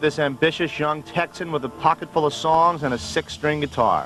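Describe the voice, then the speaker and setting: A man talks at a fairly quick pace in a monotone, flat delivery while music plays in the background. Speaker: TV host and narrator. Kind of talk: TV documentary narration. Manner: hard-boiled, often sarcastic.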